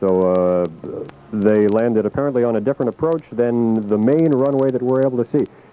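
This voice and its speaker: A man speaks at a medium pitch and a fairly quick pace, with ordinary pitch variation and very even loudness. The sound is dry and close with no echo, though noticeable background noise is present. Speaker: radio field reporter at the airport. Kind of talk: live radio news coverage.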